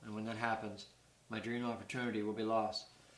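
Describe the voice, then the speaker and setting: A man's bright, sharp voice, flat and monotone at a fairly quick pace, with audible room echo. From Canada, New Brunswick (Burt's Corner, near Fredericton). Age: 60s. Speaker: retired poultry farm worker and amateur stone collector. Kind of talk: prepared appeal read to camera.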